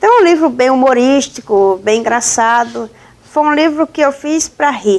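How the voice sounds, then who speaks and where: In a Paraíba accent, a woman speaks at a moderate pace with a high pitch and lively intonation. Her loudness stays very even. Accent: northeastern Brazilian (Paraíba), unchanged. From Northeast Brazil, Paraíba. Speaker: journalist and author. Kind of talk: interview.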